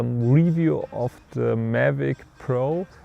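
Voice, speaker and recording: The voice carries a German accent. The sound is dry and close, without echo. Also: man. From Germany. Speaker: filmmaker and tech reviewer. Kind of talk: product review. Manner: casual, with hesitations.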